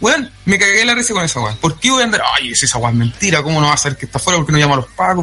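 With a Chilean accent, a man speaks in a raised, projected voice with very wide pitch swings over noticeable background noise. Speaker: wrestling podcast panelist. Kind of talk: casual chat. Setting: online voice call.

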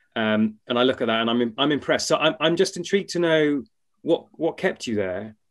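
At a fairly quick pace, a man speaks in a plain, everyday voice with a fairly high pitch and lively intonation. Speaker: co-host. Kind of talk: casual interview.

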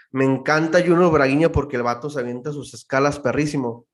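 In a Baja California accent, a man talks with fairly even intonation. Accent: northern Mexican Spanish (Baja California). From Mexicali, Baja California, Mexico. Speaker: church musician and producer. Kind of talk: casual chat.

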